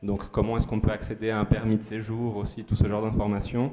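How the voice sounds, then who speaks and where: A man's fairly low voice moves along at a fairly quick pace. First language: Spanish (speaking French). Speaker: aid organisation worker. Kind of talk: community presentation. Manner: halting, many fillers.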